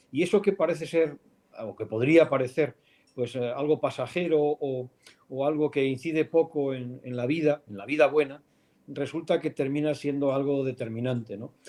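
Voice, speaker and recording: A man speaks at a moderate pace in a fairly high voice with a dark, mellow tone. His pitch varies in an ordinary way, while his loudness swings widely. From Spain, León. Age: 50s. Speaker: philosophy professor. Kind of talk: interview. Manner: thoughtful, hesitant.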